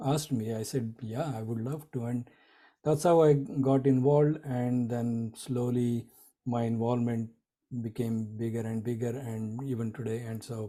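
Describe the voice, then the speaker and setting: A dark, mellow tone in a Marathi accent, fairly even intonation at a moderate pace. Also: man, medium pitch for a man. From India, Nagpur (Maharashtra). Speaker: community volunteer leader. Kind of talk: interview. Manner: halting, many fillers.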